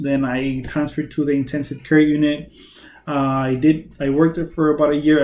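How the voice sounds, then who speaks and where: A man speaks with a Spanish accent at a moderate pace. His fairly high voice stays monotone and flat. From Mexicali, Mexico. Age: 20s. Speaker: nurse. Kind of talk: self-introduction video. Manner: halting, many fillers.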